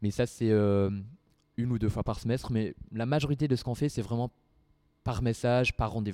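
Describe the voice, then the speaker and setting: A man with a dark, mellow tone speaks at a medium pitch and a moderate pace. His intonation stays fairly even, broken by long, frequent pauses. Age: 20s. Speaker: student association president. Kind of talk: casual interview talk. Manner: halting.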